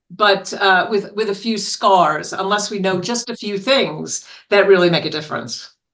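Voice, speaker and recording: A woman speaks in a New York accent at a moderate pace. She hardly pauses at all. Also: medium pitch for a woman, ordinary pitch variation. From New York City. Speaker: business consultant and author. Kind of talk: interview.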